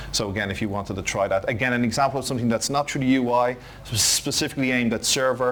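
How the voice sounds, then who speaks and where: A man with an Irish accent talks at a very fast pace. His pitch is medium and his intonation fairly even. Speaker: IT conference presenter. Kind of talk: technical conference talk.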